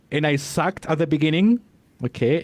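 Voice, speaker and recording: Speaking fairly quickly, a man with a non-native accent uses a fairly high pitch. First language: not English. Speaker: podcast coach. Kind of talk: interview. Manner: halting.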